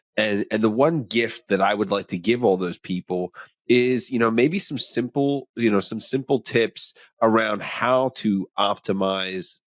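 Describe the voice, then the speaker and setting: In a very clean recording with a silent background and a dry, close sound with no echo, a man with an unremarkable speaking voice talks at a fairly slow pace and medium pitch. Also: ordinary pitch variation. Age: 40s. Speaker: podcast host. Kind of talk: interview.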